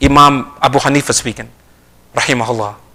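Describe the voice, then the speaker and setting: Using a bright, sharp tone, a man with an American accent speaks at a fairly quick pace. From US Northeast, South Jersey. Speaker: Islamic lecturer. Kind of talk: religious lecture. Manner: fast; animated.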